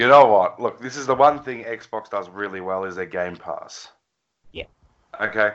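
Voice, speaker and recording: At a moderate pace, a man with an Australian accent and fairly low pitch speaks with big swings in loudness. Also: ordinary pitch variation. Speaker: gaming podcast co-host. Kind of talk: casual chat.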